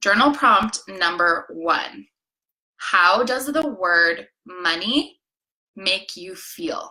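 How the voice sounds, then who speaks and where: Speaking at a very slow pace, a woman with a bright, sharp tone shows big swings in loudness and very wide pitch swings. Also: medium pitch for a woman. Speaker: life coach. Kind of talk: live coaching session. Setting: live stream.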